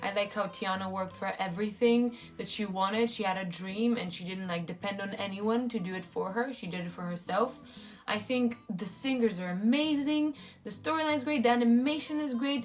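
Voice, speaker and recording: With music in the background, a woman in a non-native accent talks at a fairly quick pace with lively intonation. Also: medium pitch for a woman. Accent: non-native English, mispronounces words. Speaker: YouTuber. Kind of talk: casual vlog monologue. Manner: casual, with fillers.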